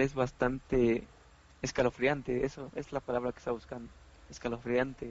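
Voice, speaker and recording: A man talks with a Mexican accent. His pitch is medium and his pace moderate. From Mexico, Oaxaca. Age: 20s. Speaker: podcast host. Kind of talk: casual chat.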